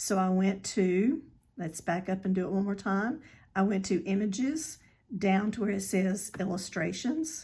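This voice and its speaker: A woman speaks in a somewhat breathy, medium-pitched voice with ordinary pitch variation. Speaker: crafting tutorial creator. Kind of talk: tutorial. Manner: hesitant, with many fillers.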